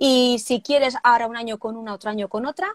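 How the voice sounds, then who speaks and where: A woman speaks at a very fast pace. The sound is dry and close with no echo. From Spain, Barcelona. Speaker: wedding planner and trainer. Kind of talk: casual interview (live stream). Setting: live video stream.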